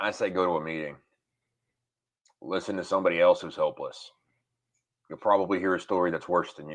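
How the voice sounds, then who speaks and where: With a Southern US accent, the speaker rushes at a very fast pace yet leaves long, frequent pauses, the loudness swinging widely. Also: man. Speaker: recovering alcoholic, military veteran. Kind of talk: interview testimony.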